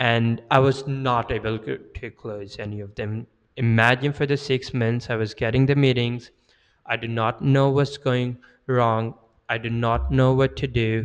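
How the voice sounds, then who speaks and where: Fairly slow and at a medium pitch, a man with a non-native accent speaks in fairly even intonation against a quiet background. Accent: foreign accent, worked on to reduce. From Pakistan. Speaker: sales and marketing content creator. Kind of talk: personal story monologue. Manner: hesitant with fillers.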